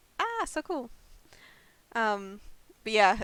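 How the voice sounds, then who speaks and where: A woman speaks with an Australian accent. Her pitch is fairly high. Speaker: variety streamer. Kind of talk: live game stream chat.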